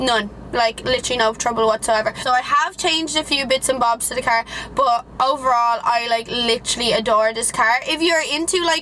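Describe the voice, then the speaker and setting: Over noticeable background noise, a high-pitched woman in an Irish accent talks at a fairly quick pace with ordinary pitch variation and very even loudness. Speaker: YouTuber. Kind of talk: casual car review vlog. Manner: casual, chatty.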